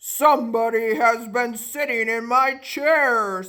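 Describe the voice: Putting on a character voice, a woman talks at a fairly slow pace with a fairly high pitch.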